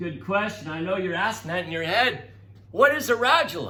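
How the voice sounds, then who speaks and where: A raised, projected voice with a bright, sharp tone and audible room echo. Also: man. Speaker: teacher. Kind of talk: recorded classroom lecture.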